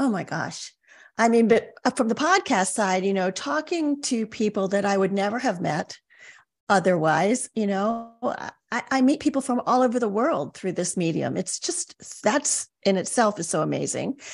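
A woman with a plain, everyday voice talks at a moderate pace and a fairly high pitch. Her intonation is lively, and the background is quiet. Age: 60s. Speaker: life coach. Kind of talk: interview podcast conversation.

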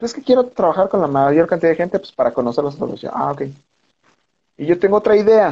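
A man with a Mexican accent talks at a very fast pace with lively intonation. His pitch is high, and his tone is dark and mellow. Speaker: film director. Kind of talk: casual chat.

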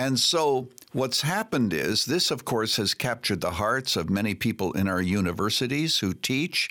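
At a moderate pace, a man with a medium pitch and a bright, sharp tone uses lively intonation and vocal fry. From Canada. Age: 80s+. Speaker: pastor emeritus and author. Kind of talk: interview.

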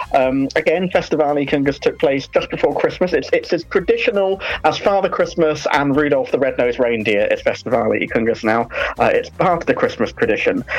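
Over noticeable background noise, a woman talks at a fairly quick pace. Her loudness stays very even. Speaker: music reviewer. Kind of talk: radio review segment.

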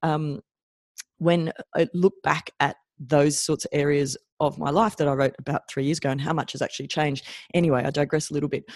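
With an Australian accent, the speaker talks at a moderate pace. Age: 40s. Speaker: chiropractor and podcast host. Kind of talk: solo podcast monologue.

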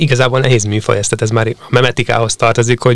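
A man at a medium pitch talks at a fairly quick pace in a monotone, flat intonation. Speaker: young sports reporter. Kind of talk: casual sports chat.

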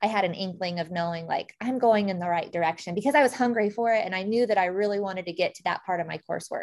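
A woman with an American accent, medium-pitched, talking at a very fast pace with ordinary pitch variation, on a very clean recording with a silent background. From central Illinois, US Midwest. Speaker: agricultural communications director. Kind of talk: interview conversation.

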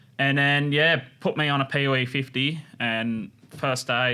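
On a very clean recording with a silent background, a man talks with an Australian accent at medium pitch. His tone is bright and sharp, with ordinary pitch variation. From Australia, northern New South Wales. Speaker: custom motorcycle builder. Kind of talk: casual chat.

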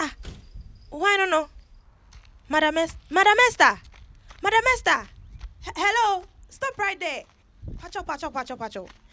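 In a put-on character voice, a woman speaks at a moderate pace with extremely high pitch, a bright, sharp tone, lively intonation and long, frequent pauses.

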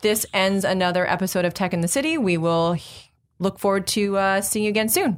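In a very clean recording with a silent background, a woman with an ordinary speaking voice talks fairly quickly at medium pitch, with ordinary pitch variation and very even loudness. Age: 30s. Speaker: tech podcast host. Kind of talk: casual interview chat. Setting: studio.

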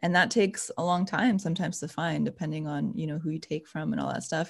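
A woman with vocal fry speaks at a fairly quick pace and a fairly low pitch, using ordinary pitch variation, in a very clean recording with a silent background. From former Yugoslavia. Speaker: belly dance teacher and podcast host. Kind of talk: casual interview chat.

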